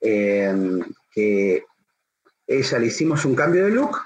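A man's voice with very wide pitch swings. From Buenos Aires, Argentina. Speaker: hairdresser. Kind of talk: interview conversation. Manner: hesitant, many fillers and repetitions.

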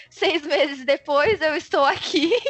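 Music plays in the background as a woman speaks. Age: 20s. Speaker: software quality assurance professional. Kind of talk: casual interview chat.

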